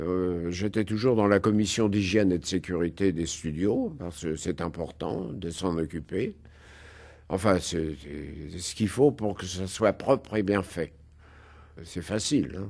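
A man speaks in a very deep, low voice at a fairly slow pace, with long, frequent pauses. His pitch varies in an ordinary way against a quiet background. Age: old. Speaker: film set designer. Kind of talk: interview. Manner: hesitant.

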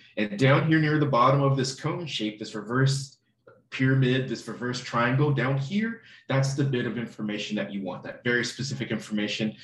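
With light background noise and audible room echo, a somewhat breathy voice speaks at a moderate pace with ordinary pitch variation. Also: man. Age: 30s. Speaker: online course instructor. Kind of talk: lecture. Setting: live online class recording. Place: home room.

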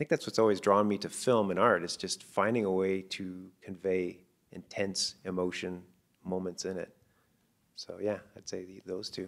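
A man with a Canadian accent and a very deep, low pitch, at a moderate pace, monotone and flat, with big swings in loudness against a quiet background. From Canada, northern Ontario. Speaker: animated film director. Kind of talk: interview. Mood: thoughtful, reflective. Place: hall.

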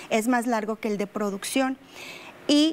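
A woman's high voice with fairly even intonation. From Coahuila, Mexico. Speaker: English teacher. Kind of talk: interview. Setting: studio. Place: studio. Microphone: lapel.

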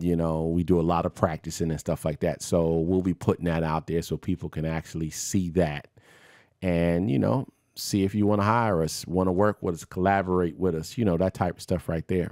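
This man talks in a low pitch at a moderate pace, his intonation fairly even. The tone is slightly mellow, and the recording is very clean with a silent background.

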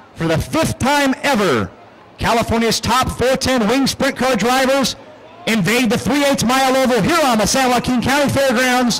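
A man talks at a moderate pace in an extremely high pitch, with ordinary pitch variation and very even loudness. Noticeable background noise runs underneath. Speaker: race announcer. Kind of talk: live race call, play-by-play over a sprint car race. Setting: track PA system at a dirt track.

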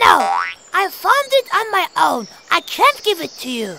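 In a cartoonish character voice at an extremely high pitch, the speaker goes at a fairly slow pace while sound effects play in the background. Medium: puppet.

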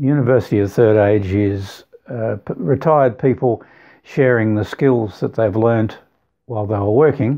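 A man with an Australian accent, fairly low-pitched with ordinary pitch variation, fairly slow, against a quiet background. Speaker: retiree and computer tutor. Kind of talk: interview answer. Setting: video call. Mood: warm, relaxed reminiscing. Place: home room.

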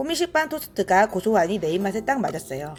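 Someone talks at a fairly quick pace with music in the background. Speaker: diet vlogger. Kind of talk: vlog voice-over narration.

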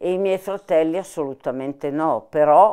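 In a dark, mellow tone, a woman talks at a moderate pace with ordinary pitch variation against a quiet background. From Milan, northern Italy. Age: 80s+. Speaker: former partisan, war witness; interviewee. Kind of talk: oral history interview. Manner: halting, with hesitations. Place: home room.

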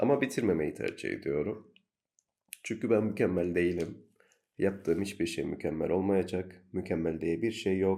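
A man's very deep, low voice, dark and mellow, with a calm tone, ordinary pitch variation and a moderate pace. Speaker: solo podcaster. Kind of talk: personal monologue.

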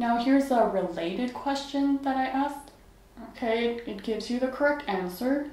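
Audible room echo surrounds a woman speaking at a high pitch. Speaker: math tutor reviewing apps. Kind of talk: tutorial review commentary. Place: home room.

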